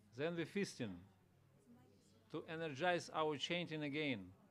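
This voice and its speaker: A man with a non-native accent speaks at a fairly slow pace with a fairly high pitch and lively intonation. Audible room echo is present. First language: not English. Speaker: visiting monk giving a scripture class. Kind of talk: religious class. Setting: temple room with audience.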